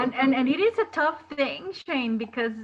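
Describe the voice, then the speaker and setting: A woman speaks with a Spanish accent. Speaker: language learner, graduate student. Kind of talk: casual conversation.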